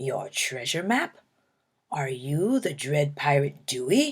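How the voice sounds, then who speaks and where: Growling in a put-on character voice, a woman speaks very deep and low at a fairly slow pace. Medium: read story. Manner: loud, growling pirate talk.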